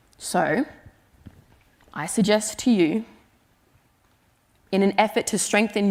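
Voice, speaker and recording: Speaking at a fairly slow pace with an Australian accent, a woman shows ordinary pitch variation. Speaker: writer. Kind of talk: conference talk.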